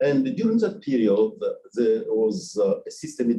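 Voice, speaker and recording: A man talks with a Nigerian accent. His pitch swings very widely. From DR Congo. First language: French. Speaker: research institute director. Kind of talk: personal life story talk. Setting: media event with audience. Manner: halting, many fillers.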